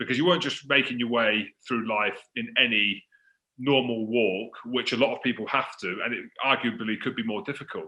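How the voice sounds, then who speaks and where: A man's ordinary speaking voice at medium pitch, moderate pace and ordinary pitch variation. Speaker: rugby show host. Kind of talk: casual interview questions.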